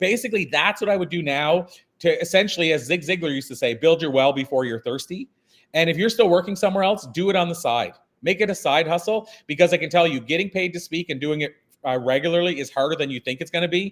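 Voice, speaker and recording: The man's voice is high in pitch. He talks at a very fast pace. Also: ordinary pitch variation. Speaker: keynote speaker. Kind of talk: interview.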